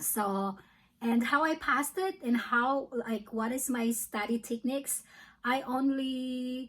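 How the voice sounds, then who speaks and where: A woman's high voice with a Filipino accent, very slow in pace and with ordinary pitch variation. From Philippines. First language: Filipino language. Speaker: nursing student. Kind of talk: casual vlog talk. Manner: hesitant, with fillers.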